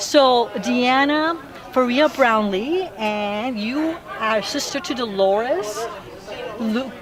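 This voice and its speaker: A woman speaks very slowly in a high voice with lively intonation. Crowd noise fills the background, and the room echo is audible. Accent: American. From Los Angeles. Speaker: historical society interviewer. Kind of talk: oral history interview.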